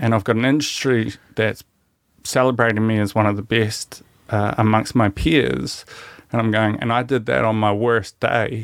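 A man speaks with a New Zealand accent at a medium pitch. His pace is moderate, with ordinary pitch variation. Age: 30s. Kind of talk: casual chat.

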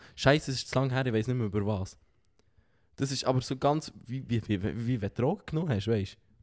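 Recorded very cleanly against a silent background, a man speaks at medium pitch and a very fast pace. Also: ordinary pitch variation. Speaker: podcast co-host. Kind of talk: casual chat. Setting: sitting on a sofa.

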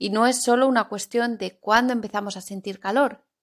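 Her fairly high pitch and fairly even intonation mark this woman's normal speaking voice, heard in a very clean recording with a silent background. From Spain, Zaragoza (Aragon). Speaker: Spanish teacher podcaster. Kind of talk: language-learning podcast monologue. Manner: clear, deliberate for learners.

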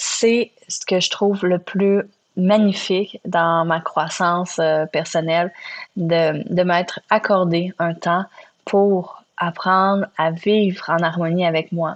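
A woman's medium-pitched, monotone, flat voice at a very slow pace, with a Quebec accent. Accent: Québécois French. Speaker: podcast host. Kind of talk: solo reflective monologue. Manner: hesitant with fillers.

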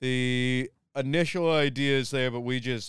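A man in a plain, everyday voice, medium pitch, ordinary pitch variation, fairly slow pace, dry, close sound with no echo, on a very clean recording with a silent background. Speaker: podcast host. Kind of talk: episode intro monologue.

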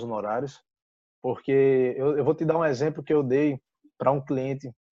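With a dark, mellow tone, a man talks at a moderate pace and with fairly even intonation. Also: quiet background. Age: 20s. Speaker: real estate agent. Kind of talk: interview.

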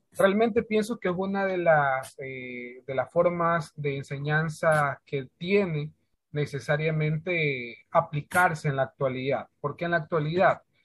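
A man's fairly high-pitched voice, fairly slow in pace, with hardly any pauses and ordinary pitch variation. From Ecuador, Santa Elena province. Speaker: schoolteacher. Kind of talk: interview. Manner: hesitant, many fillers.

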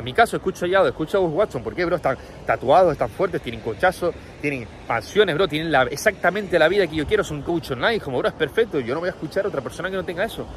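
A high-pitched man at a very fast pace, with an animated tone, lively intonation and noticeable background noise. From Canary Islands, Tenerife. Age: 20s. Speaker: online entrepreneur and coach. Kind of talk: casual motivational monologue.

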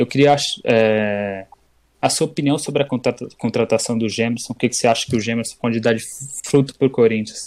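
Speaking at a fairly quick pace, a man with a plain, everyday voice keeps a medium pitch and fairly even intonation. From interior Bahia, Chapada Diamantina. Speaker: podcast co-host. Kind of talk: casual chat.

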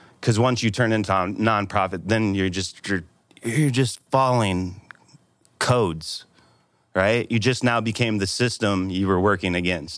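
In a very clean recording with a silent background, a man with an ordinary speaking voice and fairly low pitch talks at a fairly slow pace with ordinary pitch variation. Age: 40s. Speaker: community center founder and yoga teacher. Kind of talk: casual interview. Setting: studio.

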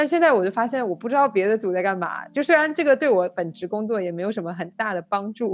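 A woman speaks at a very fast pace with hardly any pauses, in a fairly high pitch. Her pitch swings very widely, on a very clean recording with a silent background. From China. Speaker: podcast host, data analyst. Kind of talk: casual chat.

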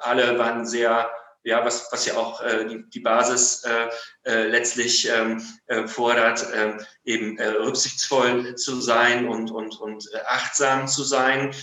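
Very slowly, a man of medium pitch speaks in a monotone, flat voice, with audible room echo around him. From Germany, Münster (Westphalia). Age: 40s. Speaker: lawyer. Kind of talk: interview. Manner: halting, many fillers.

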